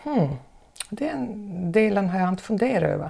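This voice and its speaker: Her voice sits at a medium pitch with a dark, mellow tone. The woman speaks at a moderate pace with lively intonation. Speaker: former teacher. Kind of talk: interview.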